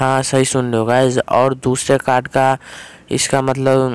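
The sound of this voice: Here a man speaks at a medium pitch. His tone is clear, smooth, and slightly mellow.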